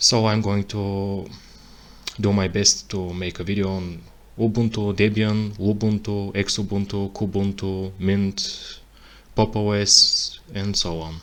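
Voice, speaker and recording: Speaking at a very slow pace with a non-native accent, a man uses a fairly low pitch and monotone, flat intonation. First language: not English. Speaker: tech tutorial creator. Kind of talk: tutorial. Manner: halting, self-correcting.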